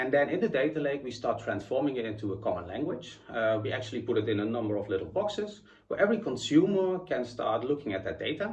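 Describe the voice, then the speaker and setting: A man with a Dutch accent talks very fast, with hardly any pauses, in a somewhat breathy, medium-pitched voice with very wide pitch swings and audible room echo. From Netherlands. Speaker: chief information architect, conference speaker. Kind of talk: conference talk.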